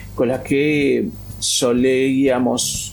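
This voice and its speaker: There is noticeable background noise behind a man's voice. Audible room echo is also present. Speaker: free software activist. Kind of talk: interview.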